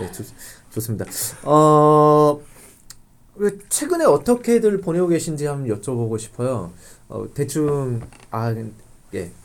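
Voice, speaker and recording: The speaker moves at a very slow pace, leaving long, frequent pauses while the pitch swings very widely. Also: man, fairly high pitch for a man. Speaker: podcast host at church young adult ministry. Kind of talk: interview, casual chat with guests.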